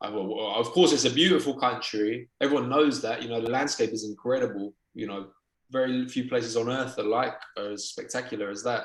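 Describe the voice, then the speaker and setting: Here a man speaks with a British accent at a fairly quick pace. His pitch sits in the medium range and varies in an ordinary way. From England, London. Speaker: documentary filmmaker and journalist. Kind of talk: interview conversation. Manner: hesitant, many fillers.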